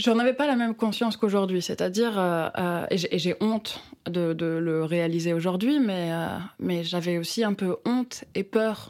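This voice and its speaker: A woman's medium-pitched voice with ordinary pitch variation, at a fairly slow pace. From France, rural village. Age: 30s. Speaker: novelist and playwright. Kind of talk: interview conversation. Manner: halting, many repetitions and hesitations.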